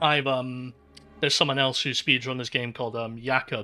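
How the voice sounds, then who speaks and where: A man with a bright, sharp tone speaks at medium pitch and a moderate pace. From Scotland. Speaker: speedrunner streamer. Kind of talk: live gameplay commentary. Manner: casual, halting with fillers.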